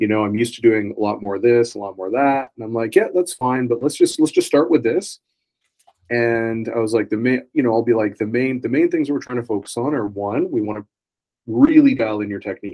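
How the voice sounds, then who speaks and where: With an unremarkable speaking voice, a man moves along at a fairly quick pace. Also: medium pitch for a man, ordinary pitch variation. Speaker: podcast host. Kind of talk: casual interview chat.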